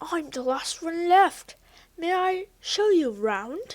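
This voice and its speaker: A woman puts on a character voice at an extremely high pitch, moving very slowly through very wide pitch swings. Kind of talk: bedtime story. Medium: read story. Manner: kind, gentle.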